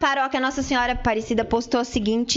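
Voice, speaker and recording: An animated woman's voice with ordinary pitch variation over noticeable background noise. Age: 40s. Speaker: community radio co-host. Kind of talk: casual radio talk show.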